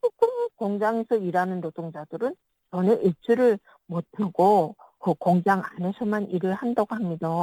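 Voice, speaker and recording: Dark and mellow in tone, a woman's voice at a medium pitch moves at a moderate pace with ordinary pitch variation, heard in a dry, close sound with no echo. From North Korea. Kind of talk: interview.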